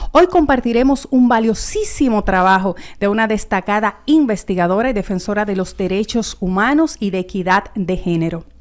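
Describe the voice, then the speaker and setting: Lively intonation marks this woman's speech, delivered at a moderate pace with hardly any pauses on a very clean recording with a silent background. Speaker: TV host. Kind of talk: TV show introduction.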